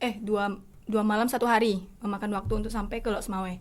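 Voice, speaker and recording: Audible room echo surrounds a woman's voice. Her intonation is monotone and flat. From Simeulue island, Aceh. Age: young. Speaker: university student. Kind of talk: casual chat.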